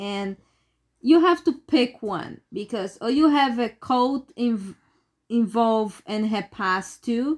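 A woman with a non-native accent and a fairly high pitch, captured in a very clean recording with a silent background. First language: not English. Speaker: horror movie podcast host. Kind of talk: casual chat.

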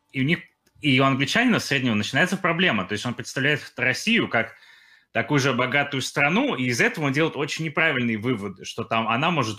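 A man talks at a fairly quick pace, medium in pitch with ordinary pitch variation and a bright, sharp tone. The recording is very clean, with a silent background. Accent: English. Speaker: podcast co-host, YouTuber. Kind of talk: casual chat.

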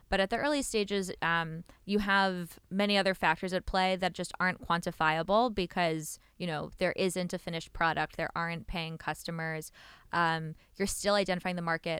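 On a very clean recording with a silent background, a woman speaks at a moderate pace with fairly even intonation. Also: fairly low pitch for a woman. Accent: New York. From New York. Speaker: venture capital investor. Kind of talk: podcast interview. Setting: studio.

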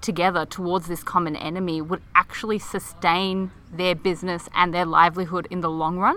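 A woman speaks with an Australian accent. Her tone is bright and sharp. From Melbourne, Australia. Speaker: podcast co-host. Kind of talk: casual chat. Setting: outdoors in a park.

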